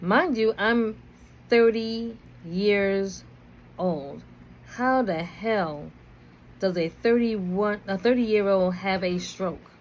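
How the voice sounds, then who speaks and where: With a New York accent, the speaker talks at a very slow pace with ordinary pitch variation and long, frequent pauses. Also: woman, medium pitch for a woman. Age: 50s. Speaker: video blogger. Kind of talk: personal storytelling. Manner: casual, conversational.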